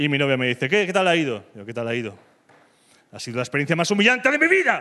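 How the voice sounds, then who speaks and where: Raising and projecting his voice, a man talks at a very fast pace in an animated tone. His pitch swings very widely. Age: 30s. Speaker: comedian. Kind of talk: stand-up.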